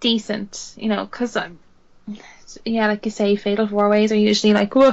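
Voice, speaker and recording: A woman speaks in an Irish accent with a fairly high pitch. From Ireland. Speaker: podcast co-host. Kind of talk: casual chat.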